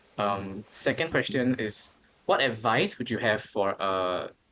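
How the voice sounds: A man speaks at a fairly low pitch with ordinary pitch variation. His tone is fairly bright.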